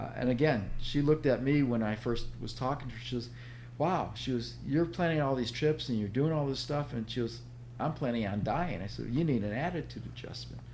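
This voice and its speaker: There's audible room echo as a man speaks at a fairly quick pace. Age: 60s. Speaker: author and health coach. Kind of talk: podcast interview.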